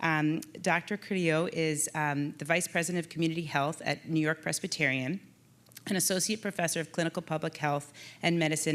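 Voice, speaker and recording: The intonation stays fairly even in a very clean recording with a silent background. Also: woman. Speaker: panel moderator, physician. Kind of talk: conference panel moderation. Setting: conference stage with audience. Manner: loud.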